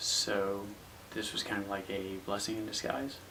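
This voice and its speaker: A soft-spoken man with a fairly low voice over noticeable background noise. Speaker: actor. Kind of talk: casual talk to camera. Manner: quiet, soft-spoken.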